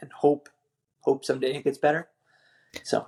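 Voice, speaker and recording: In a Newfoundland accent, a man speaks at a moderate pace. His voice is fairly high in pitch, with a dark, mellow tone. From Newfoundland, Canada. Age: 30s. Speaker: military veteran and father. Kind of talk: podcast interview.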